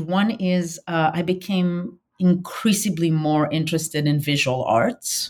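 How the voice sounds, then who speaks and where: A woman with a fairly low voice. She sounds somewhat breathy. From Israel. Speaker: professor. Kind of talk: interview. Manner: halting, many fillers.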